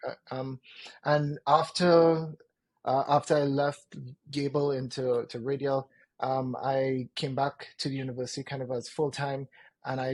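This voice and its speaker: Somewhat breathy and at a medium pitch, a man speaks in a dry, close sound with no echo. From Trinidad and Tobago. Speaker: product manager. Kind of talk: interview.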